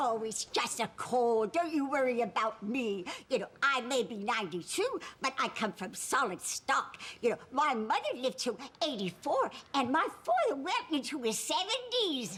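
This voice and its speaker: Putting on a character voice, a woman speaks high in pitch at a moderate pace, her pitch swinging very widely over light background noise. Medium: stage play. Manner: gentle, folksy.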